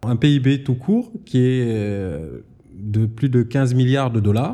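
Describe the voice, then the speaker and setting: A man speaks at a very slow pace and medium pitch with ordinary pitch variation. His tone is dark and mellow. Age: 30s. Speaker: geologist and energy entrepreneur. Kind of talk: interview. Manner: hesitant with fillers.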